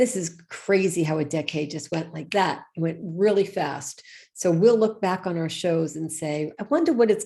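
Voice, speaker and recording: A woman talks at a moderate pace with ordinary pitch variation. Her fairly low-pitched voice has a dark, mellow tone. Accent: slight New York. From New York. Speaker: show co-host. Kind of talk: live show chat. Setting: live online broadcast.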